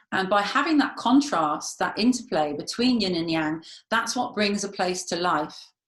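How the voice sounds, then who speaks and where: An unremarkable speaking voice at a moderate pace. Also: woman. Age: 50s. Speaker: feng shui consultant and healer. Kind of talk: interview talk.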